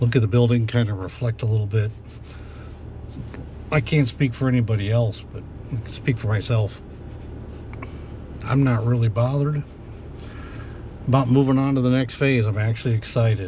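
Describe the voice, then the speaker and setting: At a medium pitch, a man talks at a fairly quick pace with fairly even intonation. Long, frequent pauses break up his speech amid noticeable background noise. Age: 60s. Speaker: retiree after a manufacturing career. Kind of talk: casual podcast talk to camera. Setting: in a car. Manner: reflective, relaxed, with frequent fillers.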